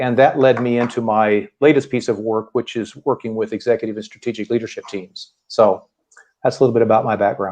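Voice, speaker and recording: With a normal speaking voice, a man with an American accent talks at a fairly quick pace, using a medium pitch and fairly even intonation. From US Midwest. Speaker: leadership team consultant and coach. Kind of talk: interview.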